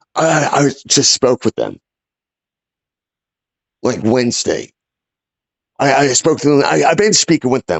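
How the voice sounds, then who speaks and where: A man puts on a raspy character voice, pitched fairly high, at a moderate pace with very even loudness. He leaves long, frequent pauses. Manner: raised voice, agitated, frustrated.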